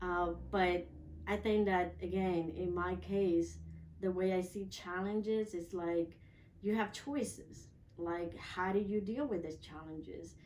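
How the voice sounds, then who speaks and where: The voice has a dark, mellow tone. Audible room echo surrounds it. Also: woman. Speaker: transformational coach. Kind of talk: interview testimony.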